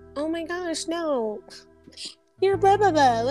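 A squeaky, put-on character voice sits at an extremely high pitch. It moves at a fairly slow pace with faint music in the background. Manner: fake, sugary, mocking.

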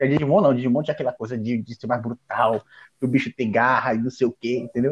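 A man speaks at a very fast pace in a medium pitch, with ordinary pitch variation and a dry, close sound with no echo. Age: 30s. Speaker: anime podcast guest. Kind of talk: casual chat.

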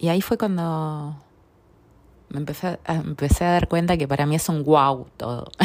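A woman talks with a very deep, low pitch, her pitch varying in an ordinary way, at a moderate pace. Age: 40s. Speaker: personal growth podcaster. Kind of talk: personal testimony monologue. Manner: hesitant, many fillers and repetitions.

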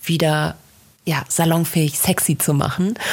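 Here a woman speaks at a very slow pace. Her pitch is fairly low. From Rhineland, Bergisch Gladbach near Cologne. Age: 20s. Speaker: podcast host, social media marketing consultant. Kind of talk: casual chat.

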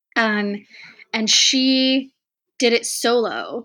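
A woman with an American accent has a bright, sharp tone and ordinary pitch variation. The recording is very clean, with a silent background. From Texas. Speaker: travel writer and mountaineer. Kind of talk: interview.

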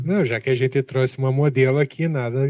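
A man with a southern Brazilian accent talks at a fairly quick pace. His tone is dark and mellow, and the sound is dry and close with no echo. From southern Brazil, Curitiba. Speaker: podcast co-host and runner. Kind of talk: interview.

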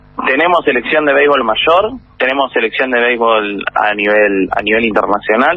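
Noticeable background noise surrounds a man's voice. His intonation is lively and his loudness very even. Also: medium pitch for a man, moderate pace. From Buenos Aires, Argentina. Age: 30s. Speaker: baseball player and manager. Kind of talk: interview.

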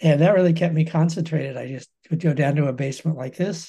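Somewhat breathy and dark, mellow in tone, the voice moves at a fairly quick pace with fairly even intonation. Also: man. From US West (Colorado). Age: 70s. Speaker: professor emeritus of fine arts. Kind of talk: interview conversation.

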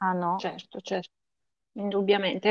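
At a moderate pace, a woman talks in an ordinary speaking voice at medium pitch, the sound dry and close with no echo. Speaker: podcast co-host. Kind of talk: casual interview chat.

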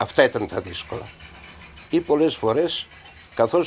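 A man talks at a moderate pace with lively intonation. Noticeable background noise runs under his voice. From Greece, Samothrace. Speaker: former coal miner. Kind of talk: testimony.

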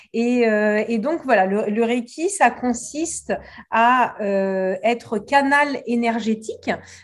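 A woman with a fairly high pitch at a very slow pace, in a very clean recording with a silent background. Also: ordinary pitch variation. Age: 40s. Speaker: reiki teacher and hypnotherapist. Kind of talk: interview. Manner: halting, repeats words.

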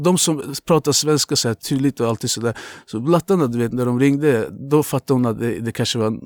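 At a fairly quick pace, a man with an unremarkable speaking voice talks with ordinary pitch variation, the sound dry and close with no echo. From Azerbaijan, moved to Luleå at 13. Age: 20s. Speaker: tattoo artist. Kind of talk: casual chat.

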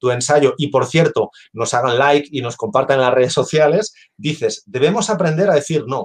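Moderate pace and fairly high pitch from a man's voice. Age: 50s. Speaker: business consultant and engineer. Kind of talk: casual chat. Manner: halting.

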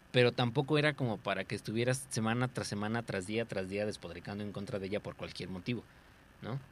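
In a Mexican accent, a man talks very fast. His pitch is fairly low. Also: ordinary pitch variation. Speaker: podcast co-host. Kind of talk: casual chat.

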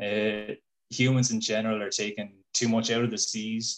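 A man with a southern Irish accent, medium pitch and monotone, flat intonation. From Ireland, Waterford. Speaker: fish biologist. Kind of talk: casual chat. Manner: hesitant, repeats words.

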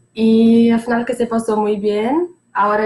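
A woman speaks with a Portuguese accent. Noticeable background noise is audible. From Brazil, Santos, São Paulo state. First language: Portuguese (speaking Spanish). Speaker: former exchange student. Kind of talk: casual chat.

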